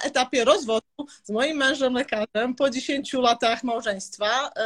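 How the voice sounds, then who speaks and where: Her words come very slowly. The woman's voice sits high, with ordinary pitch variation. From Serbia, raised in Olsztyn, Poland from age 10-12. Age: 30s. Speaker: entrepreneur. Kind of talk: interview. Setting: live stream.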